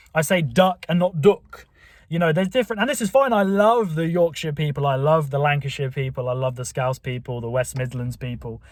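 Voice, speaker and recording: A man with a southern English accent, fairly high pitch, ordinary pitch variation, a somewhat breathy voice and a fairly quick pace, on a very clean recording with a silent background. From southern England. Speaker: YouTuber. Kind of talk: casual monologue.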